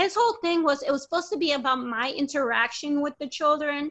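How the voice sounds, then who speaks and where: With a bright, sharp tone and lively intonation, a woman raises and projects her high-pitched voice in a dry, close sound with no echo. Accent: American. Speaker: parent sharing custody case experience. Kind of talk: interview testimony.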